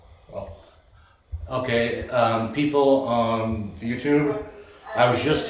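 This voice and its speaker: There's noticeable background noise and audible room echo as a man talks at medium pitch with ordinary pitch variation. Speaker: ghost hunter. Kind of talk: ghost hunt. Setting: abandoned hospital. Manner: loud; quiet.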